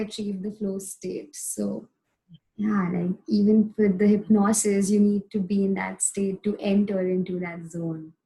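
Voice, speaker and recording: Someone speaks at a fairly slow pace in a dark, mellow tone that is somewhat breathy, keeping the intonation fairly even. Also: woman. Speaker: podcast host. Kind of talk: interview.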